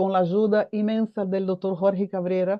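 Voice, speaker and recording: Here a woman speaks in a Portuguese accent at a medium pitch. Her pace is moderate. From Brazil. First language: Portuguese (speaking Spanish). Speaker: foundation president, mental health advocate. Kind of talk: panel discussion.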